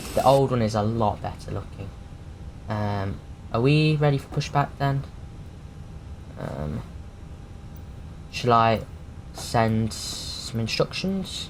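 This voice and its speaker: Audible room echo surrounds a man who speaks at a very slow pace with lively intonation and long, frequent pauses. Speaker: flight simulator streamer. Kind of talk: casual live commentary. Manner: casual, hesitant with many fillers.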